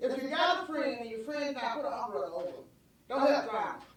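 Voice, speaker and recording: A woman speaks at a fairly quick pace in a high voice, with lively intonation. Room echo is audible. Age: 70s. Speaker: city commissioner. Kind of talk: public meeting statement. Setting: city commission meeting. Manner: halting, repetitive.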